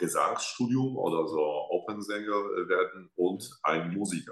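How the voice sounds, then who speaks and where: A man speaks at a very slow pace. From Poland, Łódź. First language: Polish (speaking German). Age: 30s. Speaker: opera singer. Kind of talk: interview. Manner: halting.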